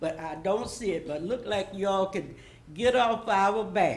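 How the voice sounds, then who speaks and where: This voice moves at a moderate pace with very wide pitch swings, and the room echo is audible. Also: woman. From US South, Florida. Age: 80s+. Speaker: public commenter. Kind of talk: public comment at city meeting. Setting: city commission meeting.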